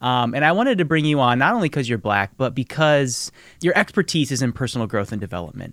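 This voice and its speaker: A man's medium-pitched voice with an American accent and lively intonation at a very fast pace, on a very clean, dry recording with a silent background and a close sound with no echo. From Nebraska, US Midwest. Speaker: podcast host and producer. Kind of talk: interview.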